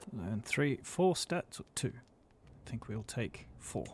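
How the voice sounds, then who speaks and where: A somewhat breathy man's voice with an Australian accent, medium in pitch, at a very slow pace. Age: middle-aged. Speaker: gaming let's-play creator. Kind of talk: casual live gameplay commentary.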